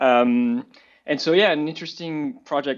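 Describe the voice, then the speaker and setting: Speaking at a very fast pace, a man has a slight French accent. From France. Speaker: marketing executive. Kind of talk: panel discussion.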